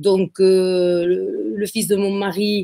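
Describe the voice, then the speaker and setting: Her voice sits at a medium pitch with ordinary pitch variation, in a dry, close sound with no echo. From southern France, Occitanie (between Béziers and Sète). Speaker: real estate agency founder. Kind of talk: interview. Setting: live video stream. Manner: hesitant, many fillers and repetitions.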